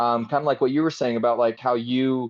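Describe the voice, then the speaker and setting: The background is quiet as a man speaks at a medium pitch. His tone is animated. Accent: Utah. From Utah. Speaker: film director and actor. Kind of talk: casual podcast interview. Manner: animated, many fillers.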